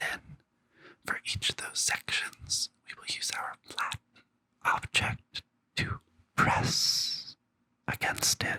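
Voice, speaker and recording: Whispering in a relaxed tone, the speaker goes at a very slow pace with long, frequent pauses. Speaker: drag queen and tech educator. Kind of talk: ASMR tutorial. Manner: soft, relaxed, ASMR-style.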